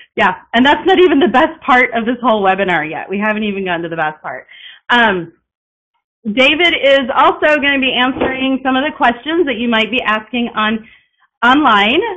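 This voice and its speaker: Against noticeable background noise, a woman speaks with an American accent at a fairly quick pace. Her high voice makes very wide pitch swings. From Texas. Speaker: piano teacher. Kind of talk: webinar presentation. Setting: online webinar. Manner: fast; drops pitch at sentence ends. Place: home room. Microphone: webcam.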